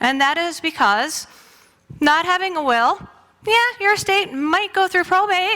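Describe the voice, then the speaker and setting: Raising and projecting her voice, a woman speaks at a fairly slow pace with lively intonation and a bright, sharp tone. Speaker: lawyer. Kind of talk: presentation in church. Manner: animated.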